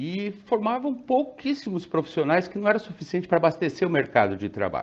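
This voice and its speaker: Very wide pitch swings in a male voice, set over a quiet background. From Brazil, interior of São Paulo state (Presidente Prudente). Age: 60s. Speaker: pharmacist. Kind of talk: interview.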